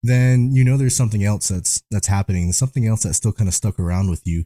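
A somewhat breathy voice with a dark, mellow tone and fairly even intonation, dry and close with no echo, in a very clean recording over a silent background. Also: man. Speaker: paranormal investigator. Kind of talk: casual discussion.

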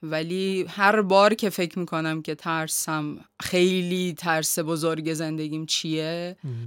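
A woman talks very slowly, with hardly any pauses and fairly even intonation. The recording is very clean, with a silent background. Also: fairly low pitch for a woman. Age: 40s. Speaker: graphic artist. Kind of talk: podcast interview.

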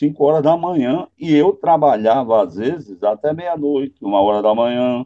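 A man with a normal speaking voice. His pitch is medium and his intonation lively. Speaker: radio broadcaster. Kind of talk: interview.

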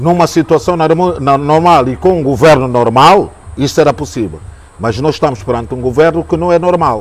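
A man with a normal speaking voice, a fairly high pitch and lively intonation talks at a moderate pace. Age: 60s. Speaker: journalist. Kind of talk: interview. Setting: jazz club.

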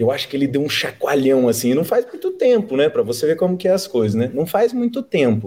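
A man's fairly high, dark, mellow voice with very wide pitch swings, a fairly quick pace, hardly any pauses, and very even loudness. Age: 20s. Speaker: company director. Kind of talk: casual interview.

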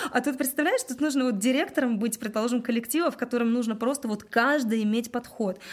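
A woman talks at a very fast pace in a high-pitched voice. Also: ordinary pitch variation, hardly any pauses. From Russia, Udmurtia (Glazov). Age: 30s. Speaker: singer and cover band director. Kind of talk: casual interview chat.

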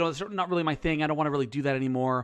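In a very clean recording with a silent background, a man with a fairly high pitch and ordinary pitch variation has an unremarkable speaking voice. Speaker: podcast co-host and teacher. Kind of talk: casual chat podcast.

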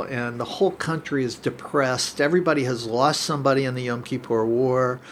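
A man talks at a fairly quick pace, with hardly any pauses and a medium pitch. His is an unremarkable speaking voice. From US Midwest, Cincinnati. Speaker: naturopathic doctor. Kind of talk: casual interview.

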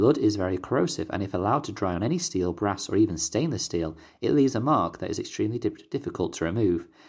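In a British accent, a man speaks at a very fast pace with very wide pitch swings. His fairly low voice is somewhat breathy, and the recording is very clean with a silent background. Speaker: podcast host, Latter-day Saint. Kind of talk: podcast study talk. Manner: hesitant, fillers.

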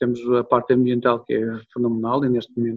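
Fairly quick, medium-pitched speech from a man. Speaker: hotel manager. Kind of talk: interview. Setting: video call. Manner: animated.

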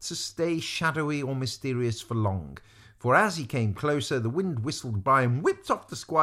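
This is a natural reading voice. It carries no other listed traits.

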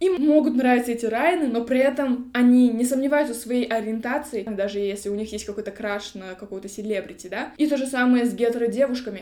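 Over noticeable background noise, a woman at a high pitch races along at a very fast pace with hardly any pauses, ordinary pitch variation and big swings in loudness. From Kazakhstan, Almaty. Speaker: podcast host, queer activist. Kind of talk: casual chat. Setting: studio, face to face.

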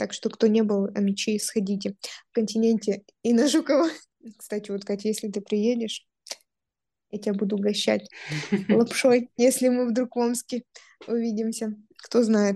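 A woman's fairly high, dark and mellow voice at a moderate pace, with fairly even intonation, long and frequent pauses, and a dry, close sound with no echo. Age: 20s. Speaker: podcast co-host, lawyer. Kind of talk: casual chat.

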